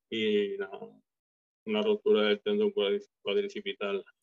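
A man at a fairly slow pace. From Galicia, Spain. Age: 50s. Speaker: retired bodybuilder. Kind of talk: interview.

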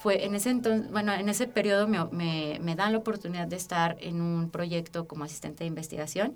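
This woman has an ordinary speaking voice, fairly low in pitch with ordinary pitch variation. She talks at a fairly quick pace with hardly any pauses. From Aguascalientes, Mexico. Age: 20s. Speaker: social activist and podcast co-host. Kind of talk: interview storytelling.

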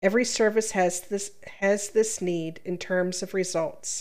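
Using an ordinary speaking voice, a woman talks at medium pitch and a moderate pace with fairly even intonation. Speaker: podcast co-host, reads Reddit posts. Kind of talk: casual chat with reading aloud.

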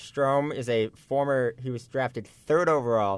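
This man has a normal speaking voice at medium pitch. His pitch varies in an ordinary way. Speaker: sports co-host. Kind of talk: casual sports talk analysis.

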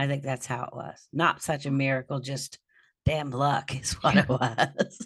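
A woman with a very deep, low, somewhat breathy voice speaks at a fairly slow pace with fairly even intonation and big swings in loudness. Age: 50s. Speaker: podcast guest. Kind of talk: casual chat. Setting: video call.

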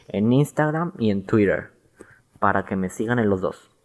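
With ordinary pitch variation, the man's voice sits at a medium pitch. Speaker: podcast host. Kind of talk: casual solo podcast monologue. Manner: halting, stumbling over words.

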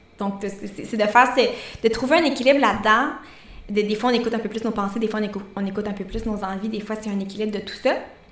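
A woman with a Quebec accent talks at a very fast pace in a fairly high voice with fairly even intonation. There is audible room echo and noticeable background noise. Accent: Québécois French. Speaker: nutritionist and podcast co-host. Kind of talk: casual chat.

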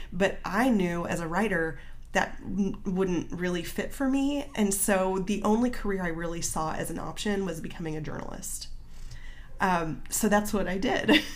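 At a moderate pace, a woman talks at medium pitch with ordinary pitch variation and audible room echo. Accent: Midwestern American. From small-town Illinois. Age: 40s. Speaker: marketing business owner and writer. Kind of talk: casual interview.

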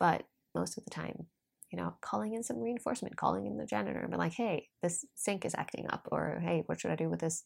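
In a very clean recording with a silent background, a woman speaks with a Norwegian accent. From Norway. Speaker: life coach and podcaster. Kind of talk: solo podcast monologue. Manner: chatty, frequent laughter.

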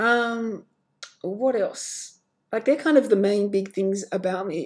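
In an Australian accent, a woman speaks at a very slow pace with a dark, mellow tone and medium pitch. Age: 20s. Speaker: podcaster and fashion model. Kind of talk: solo monologue podcast. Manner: hesitant, many filler words.

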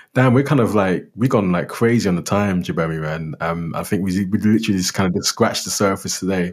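In a London accent, the speaker rushes at a very fast pace with hardly any pauses, on a very clean recording with a silent background. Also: man, ordinary pitch variation. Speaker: podcast co-host. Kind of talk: casual chat.

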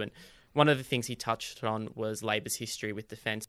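A man with an Australian accent speaks at a very fast pace in a bright, sharp tone at medium pitch. The recording is very clean, with a silent background. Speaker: podcast host. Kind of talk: interview.

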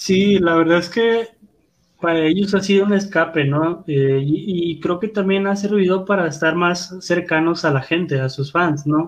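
Here a man speaks with a high pitch and fairly even intonation. His pace is fairly slow and his loudness very even. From Guadalupe, Nuevo León, Mexico. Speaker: wrestling podcast co-host. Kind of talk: casual chat.

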